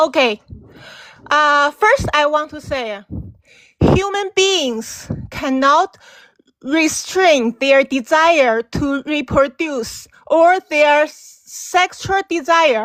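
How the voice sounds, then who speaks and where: Speaking at a very slow pace with a Chinese accent, a woman uses a high pitch and lively intonation in a dry, close sound with no echo. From China. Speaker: caller. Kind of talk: debate. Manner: halting.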